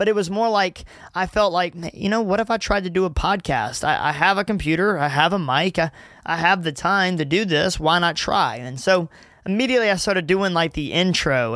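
The man speaks at a high pitch with lively intonation. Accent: Southern US. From Louisiana and Gulfport, Mississippi. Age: 20s. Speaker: youth ministry worker and podcast host. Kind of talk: casual solo podcast monologue. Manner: casual, laughing often.

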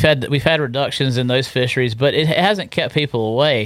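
With an eastern North Carolina accent, a man talks at a fairly quick pace, his fairly high pitch showing ordinary pitch variation. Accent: eastern North Carolina Southern. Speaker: fishing guide. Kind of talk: casual interview chat. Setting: studio.

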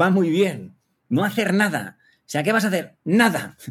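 This is a man speaking. He goes at a fairly slow pace. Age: 50s. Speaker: public speaker. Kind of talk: interview. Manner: halting.

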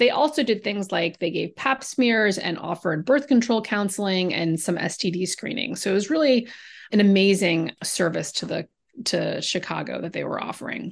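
Over a quiet background, a woman uses an ordinary speaking voice at medium pitch, with lively intonation and a moderate pace. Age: 40s. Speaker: novelist. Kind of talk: interview.

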